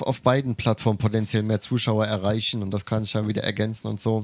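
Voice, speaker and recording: Over a silent background in a very clean recording, a man speaks at a fairly quick pace with a medium pitch. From Germany. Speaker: podcast co-host. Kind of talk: casual chat.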